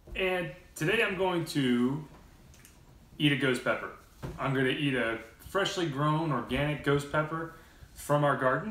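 A man speaks with very even loudness, ordinary pitch variation and long, frequent pauses. Light background noise and audible room echo are present. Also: moderate pace. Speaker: video host. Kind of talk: casual vlog chat. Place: home room. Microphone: camera far.

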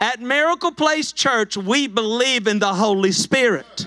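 A man speaks in a raised, projected voice with a bright, sharp tone. He goes at a fairly slow pace against a quiet background. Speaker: pastor. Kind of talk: sermon. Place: church. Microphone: handheld.

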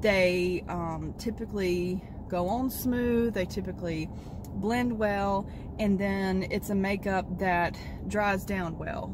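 A woman's very slow, fairly even-toned speech, dry with no echo, over noticeable background noise. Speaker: vlogger. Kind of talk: casual vlog chat. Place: car. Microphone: phone near.

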